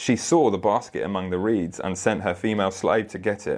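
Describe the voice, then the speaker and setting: A man with an ordinary speaking voice talks at a fairly low pitch. His pitch varies in an ordinary way against a quiet background. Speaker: preacher. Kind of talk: sermon with scripture reading; steady, measured bible reading aloud, narrating the story plainly. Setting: church with congregation. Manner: earnest, warm, conversational.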